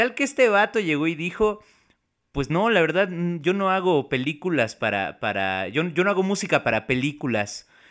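A man speaks at a moderate pace in a high pitch. His pitch swings very widely. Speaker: podcast co-host. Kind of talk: casual chat. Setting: remote recording.

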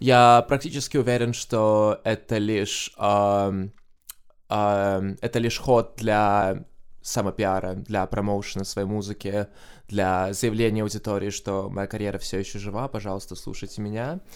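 In a very clean recording with a silent background, a man with an ordinary speaking voice talks at a fairly low pitch and a fairly slow pace with fairly even intonation. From Estonia, Tallinn. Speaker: Eurovision fan guest. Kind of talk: podcast interview.

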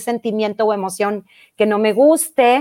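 Over a silent background on a very clean recording, the woman's words come out extremely slowly. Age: 40s. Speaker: mind-method teacher and life coach. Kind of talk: interview.

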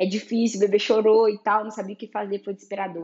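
A woman speaks in an unremarkable speaking voice at a medium pitch and a fairly quick pace. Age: 30s. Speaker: photographer and podcast host. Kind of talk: solo podcast monologue.

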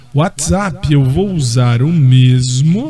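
A man talks with ordinary pitch variation while noticeable background noise is heard. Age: 40s. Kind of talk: casual monologue.

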